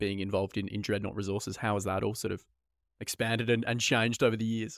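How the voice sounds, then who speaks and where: Using an ordinary speaking voice, a man talks at a fairly low pitch with fairly even intonation. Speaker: podcast host. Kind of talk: interview.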